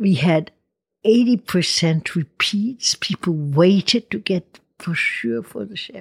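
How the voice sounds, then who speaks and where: A woman speaks very slowly at medium pitch, her voice somewhat breathy. Her pitch swings very widely, and the sound is dry and close with no echo. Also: big swings in loudness. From Switzerland, Ticino. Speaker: winery figure. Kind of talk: interview.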